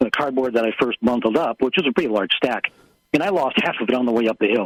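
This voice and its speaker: Speaking very fast, a man with a medium-pitched voice is heard in a dry, close sound with no echo. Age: 70s. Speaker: inventor. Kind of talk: radio interview. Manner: halting, many fillers.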